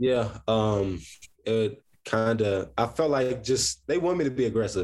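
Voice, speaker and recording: A man with an American accent and ordinary pitch variation, in a very clean recording over a silent background. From Columbus, Ohio. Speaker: college basketball player. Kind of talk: interview. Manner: hesitant, many fillers.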